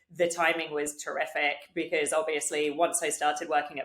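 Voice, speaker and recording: A woman with a British accent and a very deep, low pitch, her intonation monotone and flat. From UK. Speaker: digital health executive. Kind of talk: podcast interview. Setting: video call.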